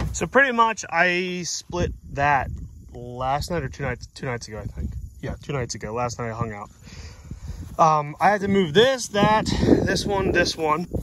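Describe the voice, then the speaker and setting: A man with an American accent talks with very wide pitch swings and big swings in loudness. Noticeable background noise runs underneath. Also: fairly high pitch for a man, fairly slow pace. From western Pennsylvania, near Pittsburgh. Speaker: firewood seller and homesteading vlogger. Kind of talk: casual outdoor vlog tutorial. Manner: relaxed, conversational.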